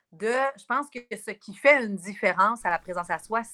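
A woman's medium-pitched voice, bright and sharp in tone, at a moderate pace with ordinary pitch variation. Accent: Quebec. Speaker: spiritual wellness guide. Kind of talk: casual radio interview.

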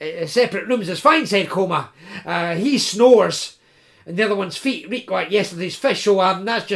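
An unforced reading voice carries lively intonation throughout.

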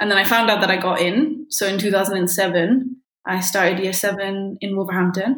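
Her intonation fairly even, a woman speaks in a somewhat breathy voice. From India. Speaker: secondary school English teacher. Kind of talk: casual chat.

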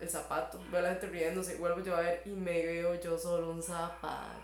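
A woman speaks at a fairly low pitch with hardly any pauses. Noticeable background noise and audible room echo fill the recording. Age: 30s. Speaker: podcast guest. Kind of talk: casual chat.

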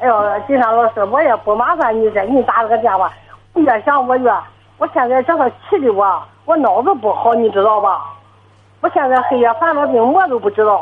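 Against music in the background, a woman speaks fairly quickly in a high pitch, with lively intonation and very even loudness. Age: 70s. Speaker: elderly caller, retiree. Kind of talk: phone-in call. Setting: phone call. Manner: fluent and brisk. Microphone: poor phone line.

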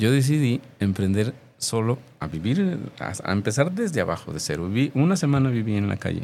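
Very wide pitch swings and a dark, mellow tone mark a man speaking at a moderate pace in a very clean recording with a silent background. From Mexico, Jalisco (Tlaquepaque). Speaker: mime performer. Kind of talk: interview.

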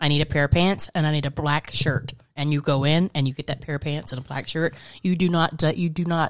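Fairly quick and with fairly even intonation, a woman speaks in a very deep, low pitch. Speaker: radio co-host. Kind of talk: casual chat. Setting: studio.

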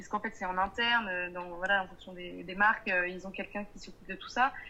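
This voice belongs to a woman. She talks at a fairly quick pace. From Paris suburbs, France. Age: 20s. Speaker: entrepreneur. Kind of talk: interview. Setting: video call. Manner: hesitant.

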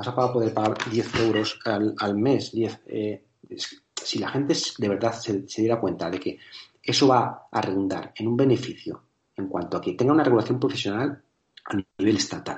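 This man speaks at a moderate pace in a medium pitch. His voice is somewhat breathy, with fairly even intonation. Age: 40s. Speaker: personal trainer and educator. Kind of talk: interview.

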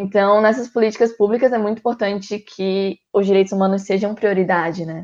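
A woman with a normal speaking voice at medium pitch, fairly quick and fairly even in intonation, with hardly any pauses. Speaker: student podcast host. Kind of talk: interview.

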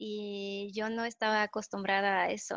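Against a quiet background, a woman with a French accent speaks at a very slow pace in a dry, close sound with no echo. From France. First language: French (speaking Spanish). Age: 20s. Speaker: chemist in cosmetics. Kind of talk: casual chat.

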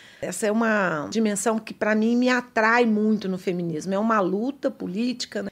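A woman of medium pitch talks at a moderate pace with fairly even intonation. Hers is a plain, everyday voice. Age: 50s. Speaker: political science professor. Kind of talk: interview.

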